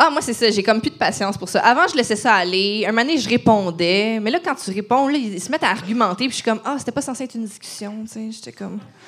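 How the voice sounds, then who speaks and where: Rushing at a very fast pace with hardly any pauses, a woman at fairly high pitch speaks with big swings in loudness. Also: lively intonation. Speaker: podcast host. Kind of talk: casual chat. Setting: stage with audience.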